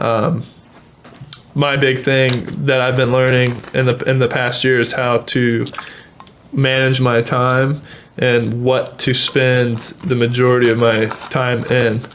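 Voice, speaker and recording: A man of medium pitch talks at a very slow pace with monotone, flat intonation and very even loudness. Long, frequent pauses break his speech over noticeable background noise. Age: 20s. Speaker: small business owner. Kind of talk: casual chat.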